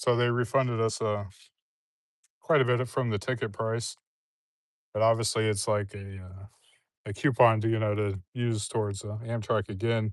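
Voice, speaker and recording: A man with a medium-pitched voice speaks at a moderate pace in a relaxed, flat monotone. Long pauses come often, against a quiet background. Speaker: woodworker. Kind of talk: casual chat. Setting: outdoors livestream. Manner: relaxed, hesitant.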